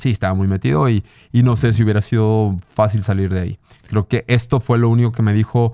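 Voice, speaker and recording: Against a quiet background, a man talks at a very fast pace in a dark, mellow tone, the sound dry with no echo. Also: fairly low pitch for a man, ordinary pitch variation. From Mexico. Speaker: blind mountaineer and triathlete; podcast guest. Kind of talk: casual interview chat. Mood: reflective, emotional. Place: studio. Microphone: studio mic.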